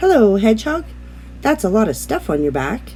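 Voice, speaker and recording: This is a put-on character voice with a croaky quality. Background noise is clearly audible. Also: moderate pace. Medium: read story.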